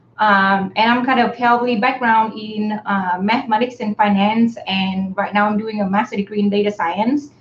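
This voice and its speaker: A woman's fairly high voice with a Vietnamese accent and fairly even intonation. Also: moderate pace, hardly any pauses. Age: 30s. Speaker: graduate student and campaign volunteer. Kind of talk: casual live stream chat. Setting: live stream, in person together. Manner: hesitant, many fillers.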